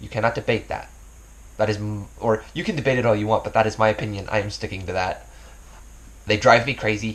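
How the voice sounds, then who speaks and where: Fairly low-pitched and somewhat breathy, a man speaks at a very fast pace with fairly even intonation and long, frequent pauses. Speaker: YouTuber. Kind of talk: casual vlog talk. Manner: stumbling, filler words.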